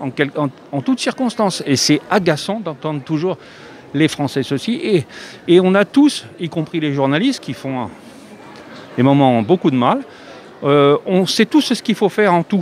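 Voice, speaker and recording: Over noticeable background noise, a man with a fairly high pitch talks at a fairly slow pace, leaving long, frequent pauses as his pitch swings very widely. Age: 70s. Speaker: passer-by in street interview. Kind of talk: street interview. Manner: hesitant, many fillers.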